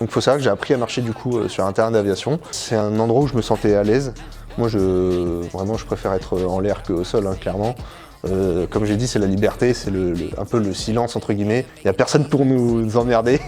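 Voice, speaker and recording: Against background music, a man speaks fairly quickly in a fairly low voice with ordinary pitch variation. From northern France, Picardy (Somme, Abbeville). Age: 20s. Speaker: glider pilot and aircraft test technician. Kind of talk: interview monologue. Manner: hesitant, many fillers.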